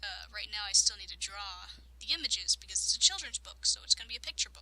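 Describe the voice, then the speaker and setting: A woman speaks quietly. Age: young. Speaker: let's play gamer. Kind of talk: casual talk to camera.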